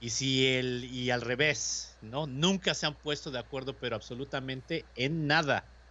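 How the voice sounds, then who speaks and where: Speaking with a Mexican accent, a man keeps his intonation fairly even. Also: medium pitch for a man, fairly slow pace. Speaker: radio host. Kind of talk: casual chat.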